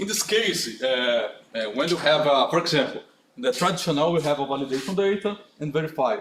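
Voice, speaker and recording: Through noticeable background noise, a man with a fairly high pitch speaks at a fairly quick pace. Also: lively intonation. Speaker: conference speaker. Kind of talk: conference talk with Q&A. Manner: halting.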